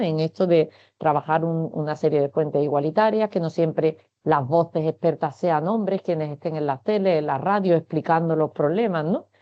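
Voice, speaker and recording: A woman with an Andalusian accent, fairly low in pitch, at a fairly quick pace. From Andalusia, Spain. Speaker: science communication director. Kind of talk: webinar talk. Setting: online webinar.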